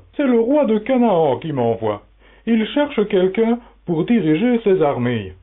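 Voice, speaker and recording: A man's put-on character voice, high in pitch and fairly slow, with very wide pitch swings. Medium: audio drama.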